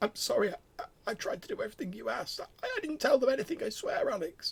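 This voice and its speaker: This is a put-on character voice with a high pitch. It rushes along at a very fast pace. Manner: weak, stammering, pleading.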